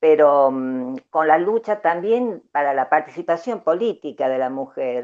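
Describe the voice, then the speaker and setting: With an Argentine accent, a woman speaks fairly slowly in a very deep, low pitch. Her intonation is lively. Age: 70s. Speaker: human rights activist. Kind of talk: interview. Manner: halting, many fillers.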